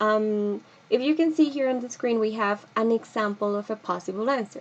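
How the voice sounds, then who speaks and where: Moderate-paced female speech in a normal speaking voice, fairly high-pitched, with ordinary pitch variation. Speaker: English teacher. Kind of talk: lecture. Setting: video recording with screen presentation.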